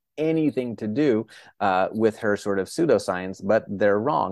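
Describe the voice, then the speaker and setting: In an American accent, a man with a normal speaking voice and a fairly low pitch talks with ordinary pitch variation. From northern Florida, US. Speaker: neurologist and psychiatrist. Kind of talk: interview.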